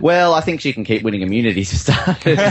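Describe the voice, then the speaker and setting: A fairly high-pitched man with an Australian accent. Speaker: podcast host, guest panelist. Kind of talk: casual chat.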